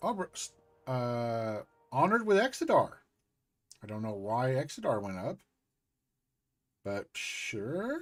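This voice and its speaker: A man at a fairly slow pace, with long, frequent pauses and big swings in loudness, music in the background. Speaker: video game streamer. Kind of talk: live gameplay commentary. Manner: casual, halting with fillers.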